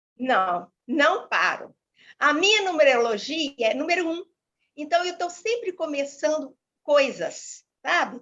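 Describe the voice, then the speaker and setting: A woman's high voice at a very slow pace with very wide pitch swings. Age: 70s. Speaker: retired teacher and holistic therapist. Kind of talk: interview.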